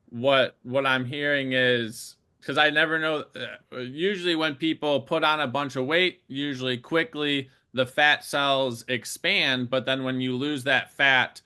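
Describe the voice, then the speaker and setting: This is a man with a normal speaking voice, fairly high in pitch. He talks at a fairly slow pace. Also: fairly even intonation. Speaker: podcast host. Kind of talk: podcast interview questions.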